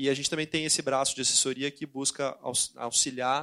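The speech comes at a fairly quick pace with monotone, flat intonation, recorded with a dry, close sound, no echo, and a quiet background. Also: man. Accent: southern Brazilian. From southern Brazil, Porto Alegre. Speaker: investment banker. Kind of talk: panel talk. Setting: stage with audience.

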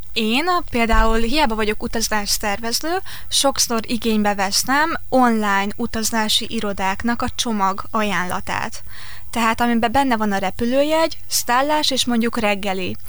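Amid noticeable background noise and audible room echo, a woman with a fairly high voice speaks fairly slowly with ordinary pitch variation. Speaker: travel writer and tour organiser. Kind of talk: radio interview. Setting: studio.

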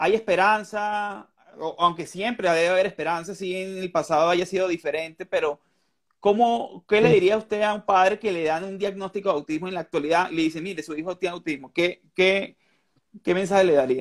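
This man's voice sits high in pitch, with ordinary pitch variation. He talks at a fairly quick pace. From Venezuela. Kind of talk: interview. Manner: halting.

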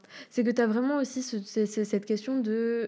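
At a moderate pace, a woman speaks with a fairly high pitch and a dark, mellow tone. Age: 20s. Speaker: podcast host. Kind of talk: casual chat. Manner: animated.

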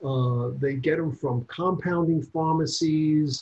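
A man speaks very slowly with an American accent. His voice is somewhat breathy. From New York. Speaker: gynecologist. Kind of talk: interview.

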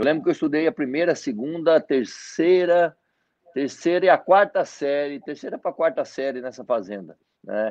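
Lively intonation from a man pitched fairly high, at a medium speed. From Mato Grosso, Brazil (born in Paraná, moved at 7-8). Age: 40s. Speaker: network marketing leader. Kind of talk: interview on a live stream.

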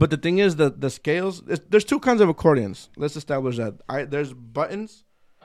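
A man speaks at a fairly quick pace and fairly high pitch, with lively intonation. His is an unremarkable speaking voice. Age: 30s. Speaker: podcast host. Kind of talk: casual chat. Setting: studio. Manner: casual, profane, bilingual code-switching.

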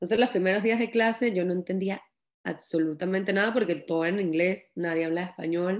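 Speaking at a fairly quick pace, a woman uses a plain, everyday voice. Her pitch is medium, with ordinary pitch variation. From Venezuela, Valera (Trujillo state). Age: 20s. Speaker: young author. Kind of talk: interview.

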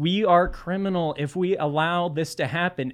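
A man's high pitch at a fairly slow pace, with ordinary pitch variation. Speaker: political blogger. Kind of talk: casual chat.

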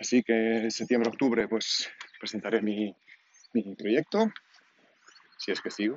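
A man's medium-pitched voice with long, frequent pauses. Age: 40s. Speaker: podcaster. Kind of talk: personal audio diary. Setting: outdoors walking. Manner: halting.

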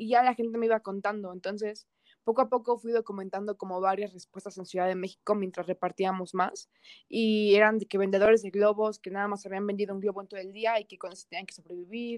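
In a central Mexican accent, the speaker goes at a very fast pace with monotone, flat intonation and big swings in loudness, in a dry, close sound with no echo. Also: woman, medium pitch for a woman. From Mexico, Toluca. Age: young. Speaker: university student. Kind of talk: interview. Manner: casual.

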